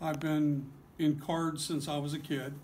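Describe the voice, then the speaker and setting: With audible room echo around him, a man talks at a very slow pace. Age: 60s. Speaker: card shop owner. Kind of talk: interview. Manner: halting.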